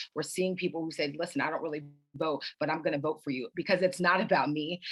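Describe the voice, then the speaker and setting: In an American accent, a woman speaks with a very deep, low voice and fairly even intonation. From Florida, Clearwater. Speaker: congressional candidate. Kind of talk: candidate forum answer.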